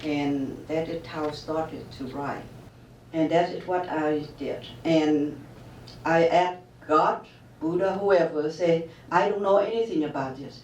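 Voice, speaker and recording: Speaking at a fairly slow pace with a Vietnamese accent, a woman with a very deep, low pitch leaves long, frequent pauses and swings widely in loudness. Noticeable background noise and audible room echo fill the recording. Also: ordinary pitch variation. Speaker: author. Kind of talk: interview. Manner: halting.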